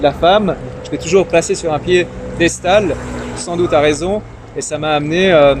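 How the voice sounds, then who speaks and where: A man speaks at a high pitch and a fairly slow pace, with fairly even intonation. Noticeable background noise sits behind his voice. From Iran. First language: Persian (Farsi) (speaking French). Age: young. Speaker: young politician and entrepreneur. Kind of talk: casual interview. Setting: interview over drinks. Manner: hesitant, many fillers.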